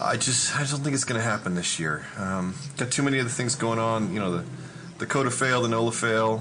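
With an American accent, a man talks at a fairly quick pace with ordinary pitch variation and very even loudness. Noticeable background noise and audible room echo are present. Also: medium pitch for a man. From Texas. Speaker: amateur race car driver. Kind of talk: casual chat.

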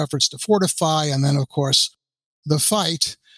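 This man has an ordinary speaking voice, fairly high in pitch, and talks at a moderate pace. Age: 60s. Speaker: military historian, professor. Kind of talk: interview.

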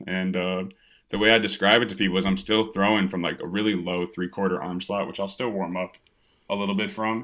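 Talking at a fairly quick pace, a man with an American accent and a fairly low pitch has an unremarkable speaking voice. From US Midwest, Evanston near Chicago, Illinois. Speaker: minor league baseball pitcher. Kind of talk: casual interview. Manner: casual, filler-heavy.

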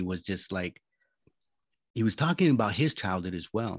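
In a dry, close sound with no echo, a man with a plain, everyday voice talks at a moderate pace with lively intonation against a quiet background. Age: 40s. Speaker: life coach and war veteran. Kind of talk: interview.

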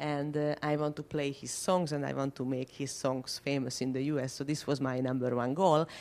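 A woman with a very deep, low voice and a dark, mellow tone. She talks at a moderate pace on a very clean recording with a silent background. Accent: Hungarian. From Budapest, Hungary. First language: Hungarian. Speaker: violinist. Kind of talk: interview.

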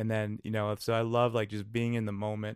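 A man with an Upper Midwest accent talks at a fairly quick pace and medium pitch, in a monotone, flat intonation. The recording is very clean with a silent background, and the sound is dry and close with no echo. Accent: Upper Midwest American. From western Wisconsin. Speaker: small business founder. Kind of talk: podcast interview.

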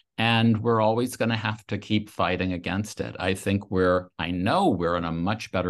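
A man with an American accent at a moderate pace, with ordinary pitch variation, against a quiet background. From US South, Louisiana. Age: 60s. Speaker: author. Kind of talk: interview.

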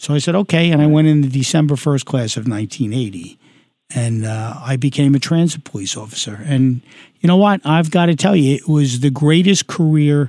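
With a New York accent, a man speaks at a moderate pace in a fairly high pitch, his tone dark and mellow and his intonation lively. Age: 60s. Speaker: retired police detective running for Congress. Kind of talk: interview. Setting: studio.

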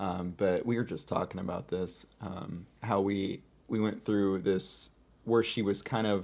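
With an American accent and an unremarkable speaking voice, a man talks at a moderate pace with fairly low pitch and fairly even intonation, on a very clean recording with a silent background. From US Pacific Northwest, Seattle area. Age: 30s. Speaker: content creator. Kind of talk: casual chat.

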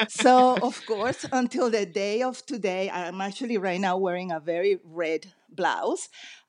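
A woman's medium-pitched voice with a Spanish accent, ordinary pitch variation and a fairly slow pace. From Venezuela, later raised partly in the US. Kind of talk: interview.

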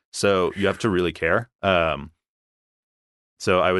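A man speaks with an American accent in a very deep, low pitch. His intonation is monotone and flat, and the background is quiet. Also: dry, close sound with no echo. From Philadelphia. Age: 20s. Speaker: campaign field organizer. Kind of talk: casual interview.

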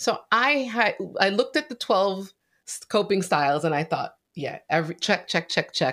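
A woman speaks at a medium pitch with very wide pitch swings. The recording is very clean, with a silent background. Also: moderate pace. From Haitian household, Caribbean. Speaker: podcast host. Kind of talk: casual interview.

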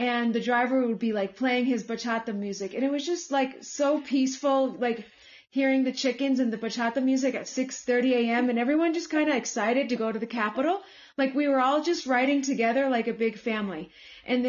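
Speaking at a fairly quick pace, a woman with an American accent has a high pitch and ordinary pitch variation. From United States. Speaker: returned volunteer and English teacher. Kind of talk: casual interview chat.

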